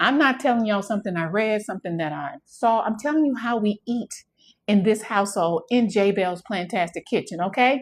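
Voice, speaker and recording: A woman's fairly high-pitched voice with an American accent, on a very clean recording with a silent background. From Texas. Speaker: home cooking content creator. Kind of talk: live cooking demonstration. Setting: home kitchen livestream. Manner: fast; animated.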